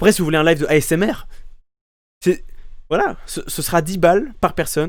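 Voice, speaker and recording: Loud and high-pitched, a man speaks at a fairly quick pace. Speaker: streamer. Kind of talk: live gameplay commentary. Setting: live stream. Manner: halting, many repetitions.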